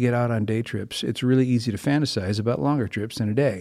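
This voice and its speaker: With an American accent, a man speaks at a medium pitch and ordinary pitch variation on a very clean recording against a silent background. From Minnesota. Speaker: pastor. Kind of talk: casual chat. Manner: halting.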